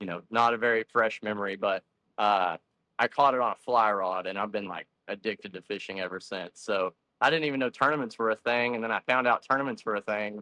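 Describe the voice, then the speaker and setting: A man with a Texan accent talks at a very fast pace in a fairly low pitch. His tone is bright and sharp, with ordinary pitch variation. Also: dry, close sound with no echo. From Texas (Stephenville). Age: 20s. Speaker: bass fishing angler. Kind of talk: podcast interview.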